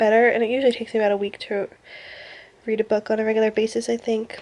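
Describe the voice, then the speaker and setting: Mumbling at a very fast pace, a woman speaks with fairly even intonation. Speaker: booktuber vlogger. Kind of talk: casual vlog monologue.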